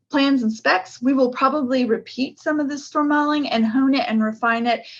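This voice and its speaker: A high-pitched woman's voice against a quiet background. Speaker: project manager presenting an engineering study. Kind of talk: technical presentation on video call. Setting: video call.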